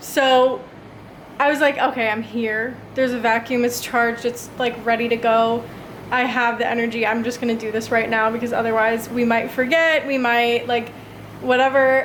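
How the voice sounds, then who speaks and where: A woman with an American accent speaks at a moderate pace, high in pitch and monotone, with flat intonation. Noticeable background noise and audible room echo are present. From United States. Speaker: lifestyle vlogger. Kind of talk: casual vlog narration. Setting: at home, apartment. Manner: casual, chatty.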